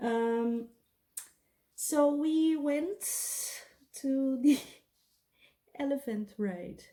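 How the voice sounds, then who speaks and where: A high-pitched woman with a non-native accent and a dark, mellow tone, at a very slow pace with ordinary pitch variation and long, frequent pauses. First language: not English. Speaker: beauty and storytime vlogger. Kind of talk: casual storytime monologue.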